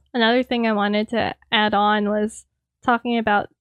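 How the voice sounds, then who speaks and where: A woman with a fairly high pitch talks at a moderate pace in a monotone, flat delivery. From US, Indian and Filipino heritage. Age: 20s. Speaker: podcast host. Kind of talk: casual chat. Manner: pauses and filler words.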